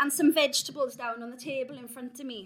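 A woman with a Welsh accent talks at a moderate pace. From South Wales Valleys. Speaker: theatre artistic director. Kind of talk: talk to live audience. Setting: stage with audience. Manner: animated.

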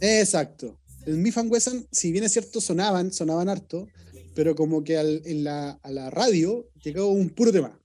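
With a Chilean accent, a man speaks at a fairly slow pace in a high-pitched voice with a dark, mellow tone and lively intonation. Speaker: podcast guest, rap fan. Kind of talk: casual chat.

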